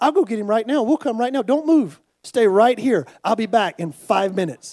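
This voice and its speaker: A man with an American accent speaks at a fairly quick pace in an extremely high pitch, his dark, mellow tone carried by lively intonation. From United States. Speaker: missionary. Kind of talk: sermon. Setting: church.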